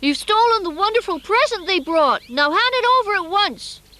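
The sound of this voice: Extremely high in pitch, this cartoonish character voice moves at a moderate pace.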